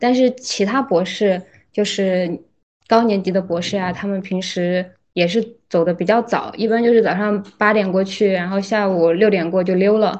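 An ordinary speaking voice from a woman: medium pitch, ordinary pitch variation, moderate pace. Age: 20s. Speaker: PhD student. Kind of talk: casual chat.

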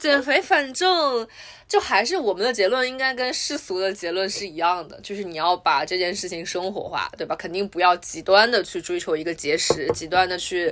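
In a plain, everyday voice, the speaker goes at a moderate pace with lively intonation and hardly any pauses. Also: woman, medium pitch for a woman. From Wuhan, China. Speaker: podcast host. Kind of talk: casual chat.

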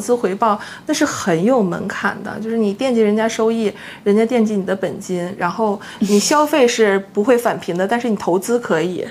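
Noticeable background noise runs under a woman's voice. She talks at a moderate pace with a fairly high pitch and ordinary pitch variation. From Northeast China, Harbin. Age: 30s. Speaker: blogger and former full-time housewife. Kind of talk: casual interview chat.

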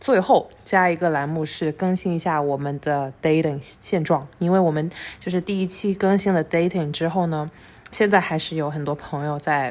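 At a moderate pace, an ordinary speaking voice comes through with ordinary pitch variation. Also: woman, fairly low pitch for a woman. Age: 20s. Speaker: podcast co-host. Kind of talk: casual chat.

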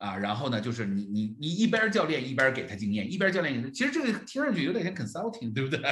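A man's fairly high voice racing along very fast, with very wide pitch swings, hardly any pauses, and noticeable background noise. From Northeast China (Jilin). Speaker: coach trainer and podcast host. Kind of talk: livestreamed co-hosted discussion of a report. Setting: livestream with online audience. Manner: fillers and repetitions.

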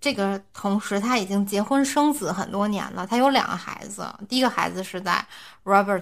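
A woman with a bright, sharp tone speaks at a moderate pace in a medium pitch with ordinary variation. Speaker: podcast host. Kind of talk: casual chat.

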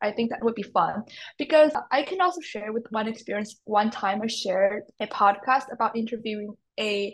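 A woman speaks with a Mandarin accent at a moderate pace. Her pitch is fairly high with ordinary variation, against a quiet background. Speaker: podcast host. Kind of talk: interview.

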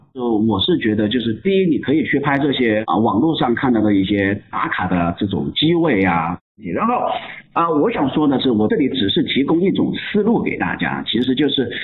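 A man talks with very wide pitch swings at very even loudness. There is noticeable background noise. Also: medium pitch for a man, moderate pace. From Chongqing, China. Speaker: photographer. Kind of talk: casual interview chat.

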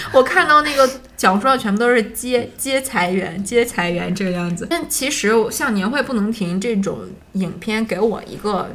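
At a moderate pace, a woman talks in a fairly high voice. Her intonation is lively, and there is noticeable background noise. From Harbin, northeast China. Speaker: film podcast host. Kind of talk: casual chat.

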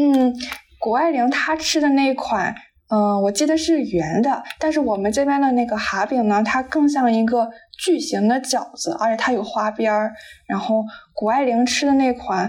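The pace is moderate, and the pitch variation is ordinary. The loudness stays very even throughout. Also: woman. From Qingdao, Shandong, China. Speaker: podcast host (guest on another show). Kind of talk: casual chat. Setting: remote call.

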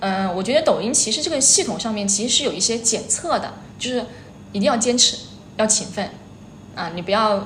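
At a fairly quick pace, a woman with a fairly high pitch and ordinary pitch variation speaks with long, frequent pauses, with audible room echo and noticeable background noise. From Hubei, China (Xiantao). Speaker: short-video educator, former primary school teacher. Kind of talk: interview chat. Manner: hesitant, many fillers.

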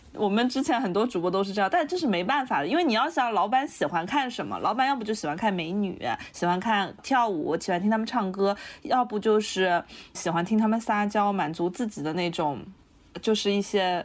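A woman's ordinary speaking voice, medium in pitch, at a fairly quick pace with lively intonation. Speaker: visual designer. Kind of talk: casual chat.

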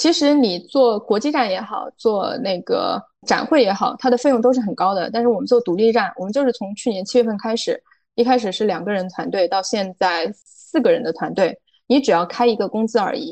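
Delivered at a fairly quick pace, an ordinary speaking voice shifts its pitch in an ordinary way. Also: woman. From rural China. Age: 30s. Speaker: foreign trade entrepreneur. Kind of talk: interview.

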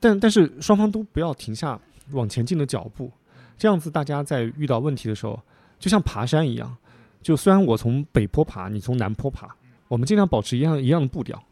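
A fairly quick man's voice, fairly high and dark, mellow in tone, with very wide pitch swings in a dry, close sound with no echo. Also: very clean recording, silent background. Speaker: podcaster and full-time stock investor, former real estate worker. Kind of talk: casual chat. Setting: teahouse.

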